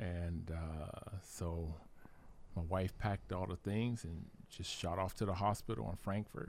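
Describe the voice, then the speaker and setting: Speaking at a fairly slow pace, a man with an American accent has a very deep, low pitch and ordinary pitch variation. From Ohio, US. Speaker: army veteran. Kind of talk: casual interview. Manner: halting.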